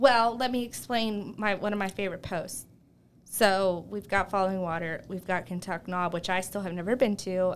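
A normal speaking voice with an American accent, at a moderate pace and with ordinary pitch variation. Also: woman. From southwestern Pennsylvania, Uniontown. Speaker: travel blogger and speech language pathologist. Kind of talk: casual chat. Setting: studio.

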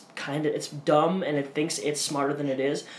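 A man talks over noticeable background noise. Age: 20s. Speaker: podcast co-host and editor. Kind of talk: casual chat.

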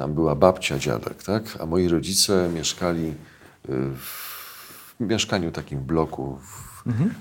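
A man speaks very slowly at a very deep, low pitch with vocal fry. Pitch varies in an ordinary way, and loudness swings widely. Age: 50s. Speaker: journalist and UFO researcher. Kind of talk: casual interview.

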